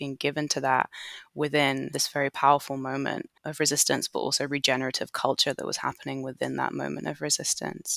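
Speech in an English accent comes at a fairly quick pace. The recording is very clean, with a silent background. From England. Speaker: artist and embodiment educator. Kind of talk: interview conversation.

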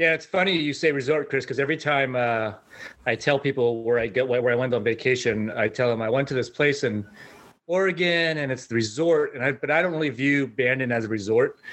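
A man's fairly quick delivery at medium pitch with ordinary pitch variation, an ordinary speaking voice. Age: 50s. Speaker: golfer. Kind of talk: casual chat.

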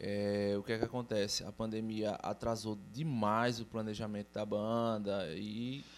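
Monotone, flat intonation at a fairly slow pace with hardly any pauses, over music in the background. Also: man, fairly low pitch for a man. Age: 30s. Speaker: metal drummer. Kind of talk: casual chat.

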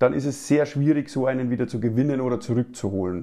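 The voice has a dark, mellow tone and a Bavarian accent. The background is quiet. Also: man. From Lower Bavaria (Passau), Germany. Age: 30s. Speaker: sales agent, insurance broker. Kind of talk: interview.

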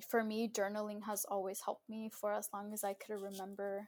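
A woman with a Californian accent talks at a moderate pace and medium pitch in a monotone, flat intonation. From Southern California. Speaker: first-generation graduate, young professional. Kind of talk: interview, casual chat.

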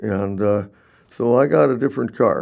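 Here is a man with an American accent. His tone is dark and mellow. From Minnesota. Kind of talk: casual interview. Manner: halting.

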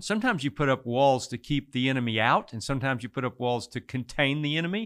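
A man with a Texan accent at a very fast pace, medium pitch and ordinary pitch variation, the sound dry and close with no echo on a very clean recording with a silent background. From Texas Hill Country. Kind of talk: interview testimony.

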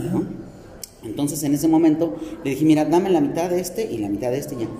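With lively intonation and a fairly high pitch, a man races along at a very fast pace amid audible room echo and noticeable background noise. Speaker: podcast host and ice cream/chocolate business owner. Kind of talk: casual chat. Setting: shopping mall.

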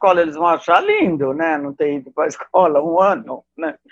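A woman speaks at a fairly quick pace. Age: 70s. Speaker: costume designer. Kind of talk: casual chat. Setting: video call.

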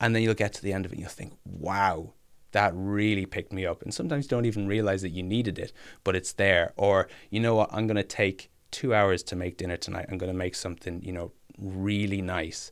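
Talking at a fairly quick pace, a man speaks with an Irish accent. His pitch is fairly low and his intonation fairly even. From Ireland, Kilkenny. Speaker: musician. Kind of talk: personal testimony.

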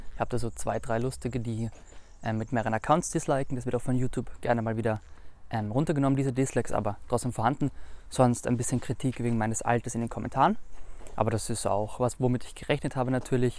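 Very fast, fairly evenly intoned speech from a man at medium pitch. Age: 20s. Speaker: finance YouTuber. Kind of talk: interview answers. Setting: filmed video with camera operator.

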